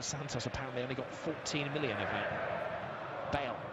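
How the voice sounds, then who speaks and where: A man speaks in a dry sound with no echo. Loud background noise is present. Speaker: football match lead commentator. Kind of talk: live sports commentary. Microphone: headset.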